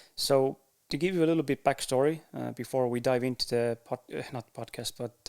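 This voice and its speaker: This voice, with an Estonian accent, moves at a moderate pace with fairly even intonation. The recording is very clean, with a silent background. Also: man. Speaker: podcaster. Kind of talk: casual monologue to camera. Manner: halting, with fillers and pauses.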